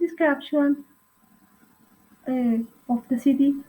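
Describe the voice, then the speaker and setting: The speaker has a Colombian accent and a dark, mellow tone. Delivery is very slow, with fairly even intonation. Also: woman. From Colombia, Boyacá (Sogamoso). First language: Spanish. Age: 30s. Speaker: language student. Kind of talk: reading aloud. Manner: halting.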